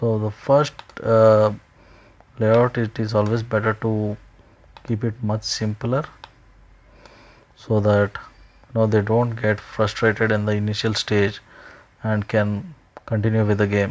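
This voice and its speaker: With an Indian accent, a man speaks at a fairly slow pace and fairly low pitch, his intonation monotone and flat, with long, frequent pauses. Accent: Indian English (Telugu). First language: Telugu. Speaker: indie game developer. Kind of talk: screen-recorded tutorial. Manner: casual, with frequent hesitations and self-corrections.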